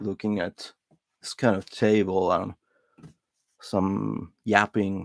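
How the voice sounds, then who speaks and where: A man with a non-native accent speaks at a fairly low pitch. His pace is very slow and his intonation monotone and flat. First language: not English. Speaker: hobbyist lighter repair streamer. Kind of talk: casual live stream monologue. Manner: hesitant, many filler words.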